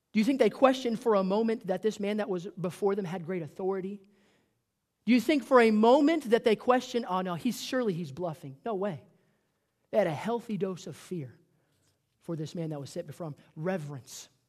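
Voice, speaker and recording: This man talks at a fairly quick pace in a high pitch, with lively intonation. His loudness swings widely from moment to moment. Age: 20s. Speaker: pastor. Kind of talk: sermon. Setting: church.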